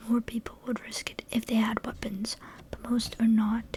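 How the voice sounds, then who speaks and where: A soft-spoken woman whispers at a fairly slow pace. Noticeable background noise is present. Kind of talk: ASMR book reading. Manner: whispered, soft-spoken.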